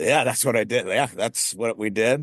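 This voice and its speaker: An ordinary speaking voice moves at a fairly slow pace, recorded with a dry, close sound and no echo. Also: man. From Las Vegas, Nevada. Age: 40s. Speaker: business owner. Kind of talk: interview.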